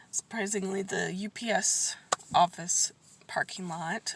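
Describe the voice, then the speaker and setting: A woman at a fairly slow pace, medium in pitch with ordinary pitch variation, over noticeable background noise. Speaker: family vlogger. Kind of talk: casual vlog talk to camera. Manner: hesitant, many fillers.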